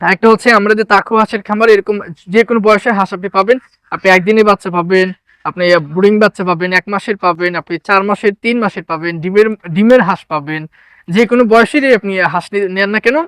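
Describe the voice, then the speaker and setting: A man speaks at a high pitch with ordinary pitch variation. The recording is very clean, the background silent. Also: dry, close sound with no echo. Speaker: duck farmer and channel host. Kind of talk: tutorial. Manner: casual, conversational.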